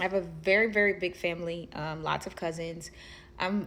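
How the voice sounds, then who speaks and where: A woman speaks with an American accent in a plain, everyday voice. Her pitch is medium with ordinary variation, and her pace is moderate. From Ohio, Dayton (US Midwest). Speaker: daughter of a late musician. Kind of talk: interview. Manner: casual, with fillers.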